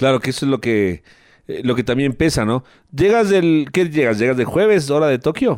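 A man with an unremarkable speaking voice and fairly high pitch talks at a moderate pace with lively intonation. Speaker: sports radio host. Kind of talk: radio interview.

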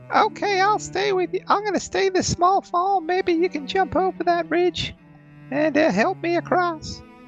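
A squeaky, put-on character voice is heard. Music plays clearly in the background. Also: moderate pace. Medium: actual play. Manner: hushed.

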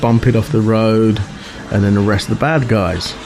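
Over noticeable background noise, a man with an English accent speaks at medium pitch with fairly even intonation. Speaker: podcast host. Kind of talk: casual chat.

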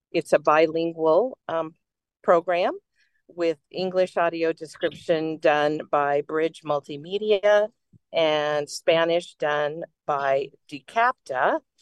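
A woman speaks very slowly at a fairly low pitch with ordinary pitch variation. The sound is dry and close, with no echo. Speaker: audio description gala organizer. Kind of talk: casual chat. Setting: in transit.

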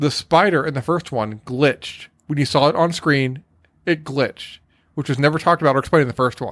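Recorded very cleanly against a silent background, a man with an ordinary speaking voice talks at a fairly quick pace in a fairly high pitch, his intonation fairly even. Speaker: podcast host. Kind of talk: casual comedic chat.

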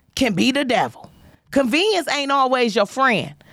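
A woman with an American accent, high in pitch, bright and sharp in tone, at a moderate pace. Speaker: comedian and podcast host. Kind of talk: casual chat. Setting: studio livestream. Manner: animated.

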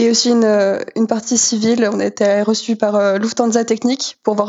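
A woman's fairly high, monotone, flat voice at a moderate pace. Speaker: student pilot. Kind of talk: interview.

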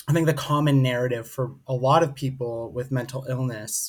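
On a very clean recording with a silent background, a man speaks at a fairly slow pace in a somewhat breathy, medium-pitched voice with fairly even intonation. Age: 30s. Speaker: mental health speaker and advocate. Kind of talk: interview.

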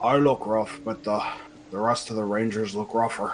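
Over clear background noise, a man does a raspy put-on character voice at a medium pitch, with fairly even intonation and a moderate pace. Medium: actual play. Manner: gruff, plain-spoken.

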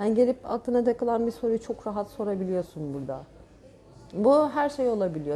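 A woman talks at a fairly quick pace with a fairly high pitch. It is a normal speaking voice. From Turkey, Çanakkale region (childhood on Gökçeada). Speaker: painter. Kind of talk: casual chat. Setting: cafe / inn venue.

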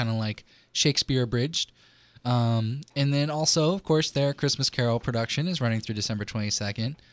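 In a plain, everyday voice, a man talks at a fairly quick pace with medium pitch and ordinary pitch variation, the recording very clean with a silent background and a dry, close sound with no echo. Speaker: podcast host. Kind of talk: casual chat.

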